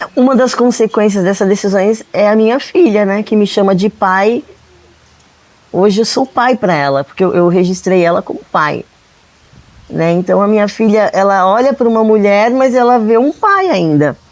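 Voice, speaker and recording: Against noticeable background noise, the speaker keeps a moderate pace, ordinary pitch variation and very even loudness. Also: woman, medium pitch for a woman. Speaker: guest sharing faith testimony. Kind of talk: testimony.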